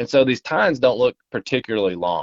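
Speaking with an Appalachian accent, a man at medium pitch talks at a moderate pace with lively intonation. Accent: Appalachian Southern US. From Appalachia, eastern Kentucky. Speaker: social media app representative. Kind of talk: casual interview. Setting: phone call.

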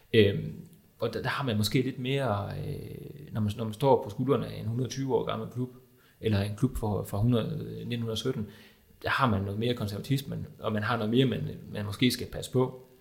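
This man speaks at a fairly slow pace with vocal fry. His intonation stays fairly even. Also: medium pitch for a man. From Denmark, Viborg. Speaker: journalist and football fan. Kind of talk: panel discussion.

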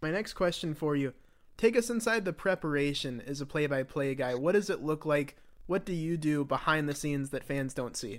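An ordinary speaking voice at a fairly quick pace, in a very clean recording with a silent background. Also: man, fairly high pitch for a man, lively intonation. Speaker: podcast host. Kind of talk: interview.

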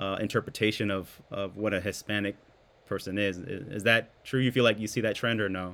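A man's fairly low voice moves at a fairly quick pace, its intonation fairly even. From Hawaii, grew up in US. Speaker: podcast co-host. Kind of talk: casual chat.

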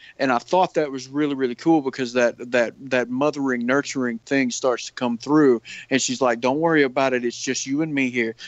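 A man with an unremarkable speaking voice talks at a fairly quick pace with hardly any pauses. His pitch is medium and his intonation fairly even. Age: 30s. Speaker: podcast co-host. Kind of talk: casual chat.

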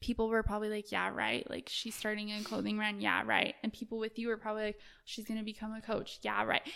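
A woman with an American accent speaks at a fairly high pitch in a bright, sharp tone. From Utah, Salt Lake City. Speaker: clothing brand owner. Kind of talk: casual interview. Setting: in person.

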